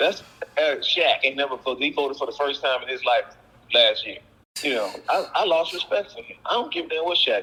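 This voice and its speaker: Noticeable background noise fills the clip. Over it, a man races along at a very fast pace. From US South, Texas (Houston). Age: 60s. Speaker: actor-comedian, former police officer. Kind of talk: casual interview chat. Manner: animated.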